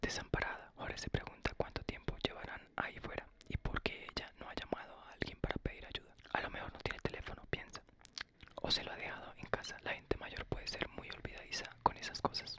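Soft-spoken whispering moves at a fairly quick pace over loud background noise. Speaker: ASMR narrator. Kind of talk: audiobook reading. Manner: soft whispered audiobook reading.

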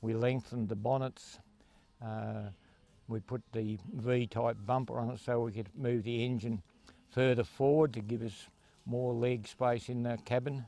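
Faint music plays in the background of a dry recording with no echo. A man speaks at a fairly slow pace with fairly even intonation. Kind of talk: interview answer. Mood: proud, relaxed. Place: open country. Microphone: handheld.

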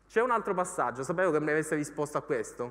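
A man with a bright, sharp tone, a fairly high pitch and lively intonation. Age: 40s. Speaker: economics journalist and author; economics journalist. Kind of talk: lecture. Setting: stage with audience. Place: hall. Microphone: handheld.

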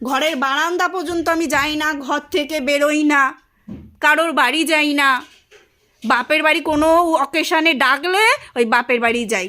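A woman projects a raised voice, high and bright with a sharp edge, using ordinary pitch variation. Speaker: vlogger, housewife. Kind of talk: casual home vlog and domestic quarrel. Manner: loud, shouting.

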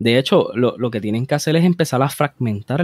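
The recording is very clean with a silent background, dry and close with no echo. A man talks at a medium pitch and fairly quick pace. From Puerto Rico, Bayamón. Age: young. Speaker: police officer and columnist. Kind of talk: interview conversation. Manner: halting, repeats words.

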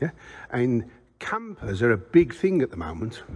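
A man speaks with vocal fry. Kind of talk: casual vlog chat. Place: workshop.

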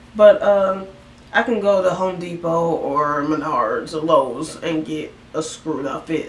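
Light background noise and audible room echo surround this woman as she talks. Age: 20s. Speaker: vlogger. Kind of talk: casual chat. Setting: home bedroom. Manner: rambling, fast. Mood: relaxed, playful. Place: home room. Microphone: camera far.

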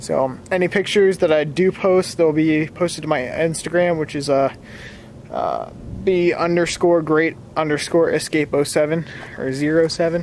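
Over light background noise, a man with an American accent speaks fairly slowly in a fairly high voice with fairly even intonation, the sound dry with no echo. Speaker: car vlogger. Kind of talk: casual vlog. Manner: halting. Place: street. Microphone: phone near.

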